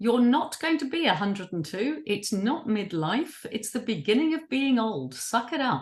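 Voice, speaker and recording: A woman's fairly high voice with vocal fry, very wide pitch swings, a moderate pace and hardly any pauses. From New Zealand. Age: 60s. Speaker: writer and creative activist. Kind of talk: interview. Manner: animated.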